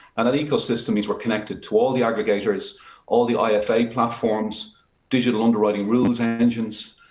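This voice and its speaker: There is audible room echo around a man's voice. He speaks at a medium pitch and a fairly quick pace. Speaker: fintech company CEO. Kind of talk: business pitch.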